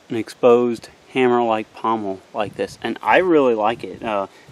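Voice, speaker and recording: A man with a Missouri accent speaks at a moderate pace. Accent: Missouri rural. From US Midwest, Missouri. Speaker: outdoors knife reviewer. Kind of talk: product review demonstration. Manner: casual, hesitant with fillers.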